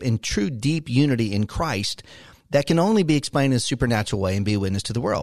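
Against a quiet background, a man with an ordinary speaking voice talks at a fairly quick pace with a medium pitch and lively intonation. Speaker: radio host and pastor. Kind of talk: radio interview. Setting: radio studio.

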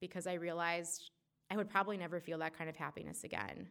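On a very clean recording with a silent background, an ordinary speaking voice goes at a fairly quick pace with ordinary pitch variation. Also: woman. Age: 20s. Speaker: storyteller. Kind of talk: personal storytelling. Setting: stage with audience.

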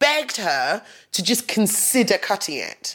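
An East Midlands accent, very wide pitch swings and a fairly slow pace. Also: woman. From England, Nottingham. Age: 30s. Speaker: podcast host. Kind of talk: personal monologue. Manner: laughing often.

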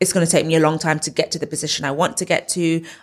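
In a London accent, a woman talks at a fairly low pitch on a very clean recording with a silent background. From northwest London. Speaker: property content creator. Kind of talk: casual interview.

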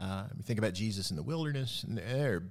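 In a very clean recording with a silent background, a man with a Southern US accent speaks with lively intonation. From West Tennessee. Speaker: pastor. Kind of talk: casual bible study chat.

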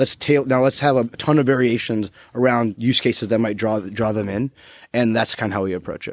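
A man speaks with an American accent at a fairly quick pace. His pitch is medium, and the recording is very clean with a silent background. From US South, Florida. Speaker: mobile marketing manager. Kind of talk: casual chat. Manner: animated.

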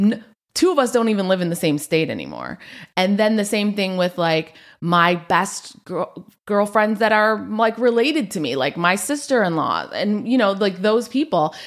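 A woman's unremarkable speaking voice at medium pitch, moderate pace, and lively intonation. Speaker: podcast host. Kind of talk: casual chat.

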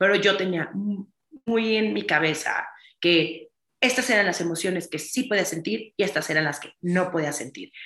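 A woman of medium pitch speaks at a fairly slow pace with lively intonation. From Mexico. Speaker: entrepreneur and author. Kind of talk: interview conversation. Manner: animated.

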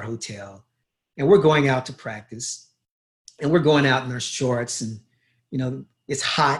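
A somewhat breathy man with an American accent, at a fairly slow pace. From US South, Louisville, Kentucky. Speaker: beach volleyball coach. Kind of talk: casual interview conversation.

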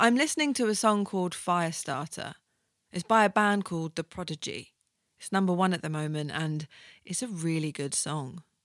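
A woman speaks in an ordinary speaking voice at a fairly low pitch and a moderate pace, with lively intonation. The sound is dry and close, with no echo. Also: very clean recording, silent background. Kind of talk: radio DJ patter, chatty solo podcast intro. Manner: casual, rambling, self-deprecating, laughs at own jokes, filler-heavy; warm, informal, playful, full of ums and asides.

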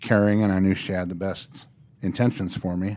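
With an American accent, a man speaks at a fairly low pitch in monotone, flat intonation. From Norfolk, Nebraska. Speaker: probation officer. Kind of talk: interview, personal story. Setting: studio.

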